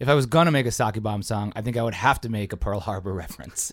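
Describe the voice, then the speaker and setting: With an American accent, the speaker has a normal speaking voice and ordinary pitch variation. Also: man. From Chicago. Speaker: improv comedian and rapper. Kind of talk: casual chat.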